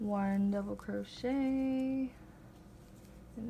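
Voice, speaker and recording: Over noticeable background noise, a woman speaks in a fairly high voice with fairly even intonation. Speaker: crochet tutorial maker. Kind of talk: tutorial. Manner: casual, filler-heavy.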